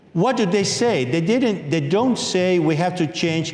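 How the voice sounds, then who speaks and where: A man's lively intonation amid noticeable background noise and audible room echo. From Peru. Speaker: author and lecturer. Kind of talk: lecture. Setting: book launch with audience.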